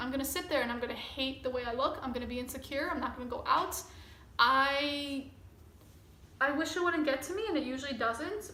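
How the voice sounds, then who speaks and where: Her high, bright, sharp voice raised and projected, a woman talks at a fairly quick pace with ordinary pitch variation and audible room echo. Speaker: vlogger. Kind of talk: personal vlog. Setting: recording to camera. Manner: casual, rambling.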